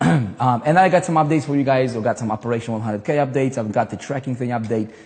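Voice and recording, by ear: This raspy, put-on character voice from a man runs at a very fast pace, with medium pitch and ordinary pitch variation.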